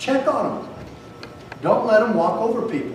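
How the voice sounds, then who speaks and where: A man speaks at an extremely high pitch. Noticeable background noise and audible room echo surround his voice. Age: 60s. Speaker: former sheriff and public speaker. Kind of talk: speech to a live audience. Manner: animated.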